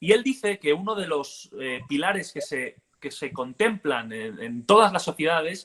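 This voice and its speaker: Bright and sharp in tone, a man with a Catalan accent speaks with lively intonation. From Catalonia, Spain. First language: Catalan (speaking Spanish). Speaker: political activist and commentator. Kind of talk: interview conversation.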